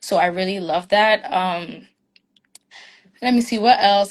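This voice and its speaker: A woman speaks with a medium pitch. Her intonation is monotone and flat. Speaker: international student. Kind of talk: panel discussion.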